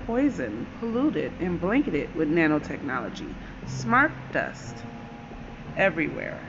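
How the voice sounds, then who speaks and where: Over noticeable background noise, a woman speaks at a moderate pace in an intense tone. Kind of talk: angry rant, fervent conspiracy-style monologue. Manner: intense, indignant, emphatic; declamatory, urgent, forceful delivery with dramatic pauses.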